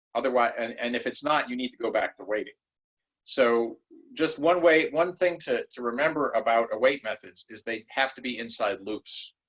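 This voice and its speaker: A man speaks at a medium pitch. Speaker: university lecturer. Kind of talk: lecture. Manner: fast.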